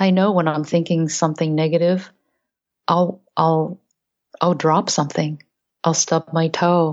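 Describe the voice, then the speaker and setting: A woman speaks with a fairly low pitch and monotone, flat intonation, her loudness very even. Her pace is fairly slow, with long, frequent pauses. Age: 50s. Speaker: wellness coach and speaker. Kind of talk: interview.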